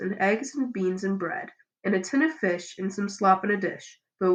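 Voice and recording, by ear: Natural-voiced reading aloud over a quiet background, pitch varying in an ordinary way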